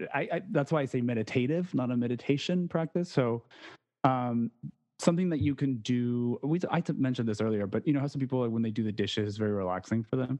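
The voice rushes along at a very fast pace with ordinary pitch variation. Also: man, medium pitch for a man. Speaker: podcaster. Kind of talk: casual chat.

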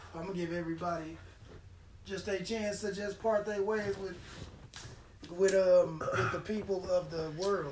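With noticeable background noise behind him, a man with a high, animated voice speaks at a fairly slow pace with long, frequent pauses. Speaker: podcast host. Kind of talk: casual banter, crude comedic chat. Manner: animated, joking.

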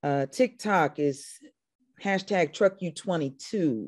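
Very slow, lively intonation in a dark, mellow tone over a quiet background. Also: woman. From Indiana, US Midwest. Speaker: country singer-songwriter. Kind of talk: casual interview chat.

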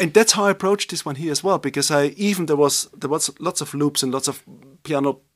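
A man with a German accent at a very fast pace, fairly high pitch and ordinary pitch variation, in a very clean, dry, close recording with a silent background and no echo. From Upper Austria. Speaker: jazz pianist. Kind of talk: casual interview.

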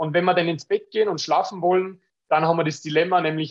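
A man with an Austrian accent, fairly high-pitched for a man, at a very fast pace with fairly even intonation. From Austria, Tyrol (Innsbruck). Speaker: business owner selling blue-light glasses. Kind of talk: podcast interview.

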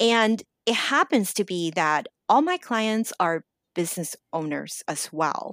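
Over a silent background on a very clean recording, a woman speaks in an American accent at a medium pitch and a fairly slow pace. Her intonation is lively, and the sound is dry and close with no echo. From Los Angeles, US. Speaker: life coach. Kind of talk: interview.

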